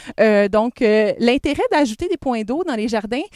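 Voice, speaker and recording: A woman speaks at a moderate pace with a high pitch and lively intonation. The sound is dry and close, with no echo. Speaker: ecovillage resident giving a tour. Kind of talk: guided tour explanation. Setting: outdoors in a garden. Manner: hesitant, many fillers.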